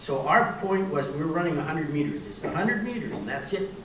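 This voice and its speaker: A man talks with lively intonation while noticeable background noise and audible room echo fill the recording. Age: 80s+. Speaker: senior sprinter. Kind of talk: interview. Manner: halting, many repetitions.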